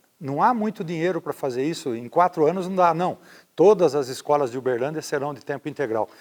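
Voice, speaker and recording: In a dry, close recording with no echo, a man with an unremarkable speaking voice talks at a fairly quick pace, his fairly high voice carrying lively intonation. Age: 60s. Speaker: mayoral candidate, former university rector. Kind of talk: interview.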